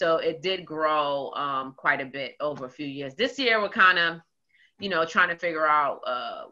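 With a New York accent, a woman speaks in a very deep, low pitch with a bright, sharp tone and ordinary pitch variation against a quiet background. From Queens, New York. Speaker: community organizer; interview guest. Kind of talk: casual interview. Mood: warm, engaged. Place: home room. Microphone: video call.

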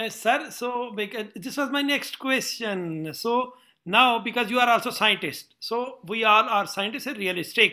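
Speaking at a moderate pace with hardly any pauses, a man uses a raised, projected voice at an extremely high pitch, with a bright, sharp tone and ordinary pitch variation against a quiet background. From Pakistan. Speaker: surgeon and interviewer; interviewer. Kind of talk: interview. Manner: halting. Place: office. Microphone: webcam.

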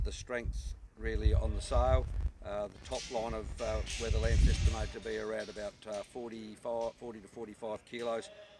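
Clear music plays behind a man speaking at a moderate pace. The sound is dry with no echo. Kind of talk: market report. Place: farm machine.

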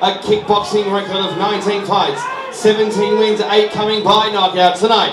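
Fairly slow delivery amid noticeable background noise. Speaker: boxing ring announcer. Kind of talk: booming fight-night ring introduction, building to the fighter's name. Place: hall. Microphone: pa.

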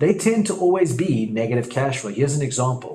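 A man's somewhat breathy voice with lively intonation. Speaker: property investment educator. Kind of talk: tutorial.

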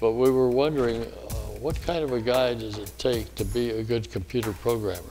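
Clear music plays behind a man speaking at a fairly quick pace with ordinary pitch variation. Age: 80s+. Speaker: retired air force colonel, war veteran. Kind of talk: interview answer. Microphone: lapel.

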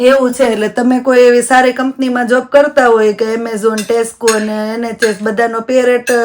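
A woman's high-pitched, monotone, flat delivery over noticeable background noise. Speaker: family vlogger. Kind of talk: casual vlog talk to camera.

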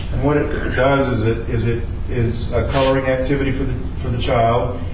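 A man speaks with audible room echo and noticeable background noise in the recording. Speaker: council presenter. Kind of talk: public presentation. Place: meeting room.

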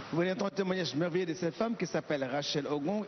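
There is noticeable background noise as a man with a high pitch speaks with ordinary pitch variation. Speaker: church interpreter. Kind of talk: live interpretation. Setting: church.

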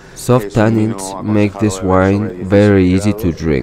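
A man with a very deep, low pitch at a very slow pace, in a dry sound with no echo and noticeable background noise. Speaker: presenter. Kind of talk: product presentation to camera. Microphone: lapel.

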